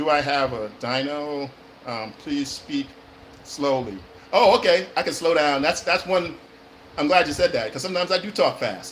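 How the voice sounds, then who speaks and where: Noticeable background noise sits behind the voice. A man with an American accent talks at a fairly high pitch with lively intonation. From California. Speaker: actor and acting coach. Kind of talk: live stream chat. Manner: fast-talking; hesitant, many fillers.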